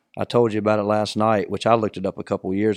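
A man talks at a fairly low pitch and fairly quick pace in an unremarkable speaking voice. The sound is dry and close with no echo. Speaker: podcast host. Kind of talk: casual sports chat. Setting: studio.

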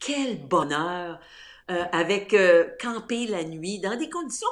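Talking very slowly, a woman at a medium pitch uses lively intonation. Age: 60s. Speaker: outdoor enthusiast, former journalist and radio host. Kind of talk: interview.

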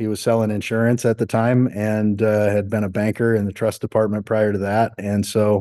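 Against a quiet background, a man speaks at a medium pitch in a dark, mellow tone with monotone, flat intonation. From South Dakota. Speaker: hotel company executive. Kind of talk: interview. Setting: office.

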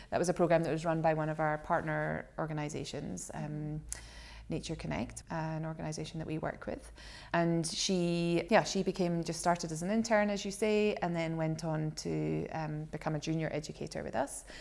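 Her pace stays moderate. The woman talks in a Scottish accent. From Scotland. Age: 40s. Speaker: shark education centre director. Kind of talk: casual interview chat. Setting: rented holiday home.

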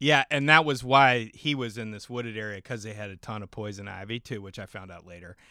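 Speaking fairly quickly with hardly any pauses, a man at a medium pitch uses ordinary pitch variation and a bright, sharp tone, his loudness swinging widely on a very clean recording with a silent background. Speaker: podcast host. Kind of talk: casual chat.

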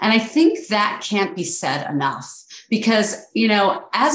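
A woman with an American accent speaks at a moderate pace in a fairly high voice with very wide pitch swings, and the room echo is audible. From US Northeast, New York City. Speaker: podcast host, attorney and real estate investor. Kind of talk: podcast interview.

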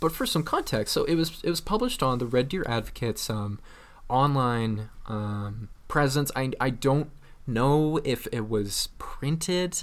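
A man with a Canadian accent and an ordinary speaking voice talks at a medium pitch and a moderate pace with ordinary pitch variation, on a very clean recording with a silent background. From Alberta, Canada. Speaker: podcast co-host. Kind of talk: casual comedic chat.

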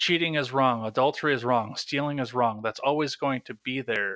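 An American accent shapes this man's medium-pitched voice, bright and sharp in tone with ordinary pitch variation at a moderate pace. The recording is very clean with a silent background, and the sound is dry and close with no echo. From Wisconsin, US Midwest. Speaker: podcast host. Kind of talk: casual interview.

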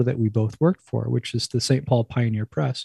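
A man with an American accent speaks at a very fast pace in a dark, mellow, somewhat breathy tone. The sound is dry and close, with no echo. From New Jersey, near New York. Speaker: wild food cookbook author and former chef. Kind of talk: casual interview.

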